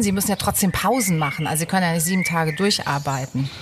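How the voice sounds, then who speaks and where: Over noticeable background noise, a woman at a medium pitch talks very fast with ordinary variation in her pitch. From southern Baden, Germany. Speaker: radio host. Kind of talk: scripted narration; interview.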